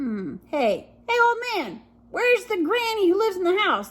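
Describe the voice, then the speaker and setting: A woman uses a put-on character voice at an extremely high pitch. She speaks at a moderate pace. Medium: read story. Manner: sly, growling.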